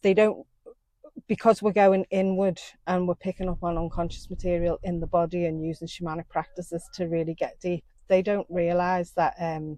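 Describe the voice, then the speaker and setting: In a dry, close sound with no echo, a woman speaks at a moderate pace and a fairly low pitch, her dark, mellow tone held in monotone, flat intonation. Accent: Liverpool. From Liverpool, England. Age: 50s. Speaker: somatic shamanic therapist. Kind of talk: interview. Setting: outdoors by a river.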